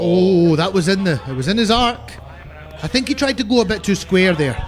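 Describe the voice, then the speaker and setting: A loud, high male voice with lively intonation at a fairly quick pace, over music in the background. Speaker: cricket commentator. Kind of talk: live commentary. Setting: commentary box.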